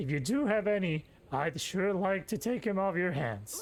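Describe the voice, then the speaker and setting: A put-on character voice with lively intonation moves at a moderate pace over clear background noise. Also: man, high pitch for a man. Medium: game stream. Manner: folksy, chuckling.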